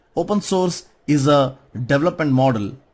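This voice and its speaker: Against a quiet background, a man speaks at a fairly high pitch. His intonation is lively and his voice is somewhat breathy. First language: not English. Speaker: conference speaker on software. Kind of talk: conference talk.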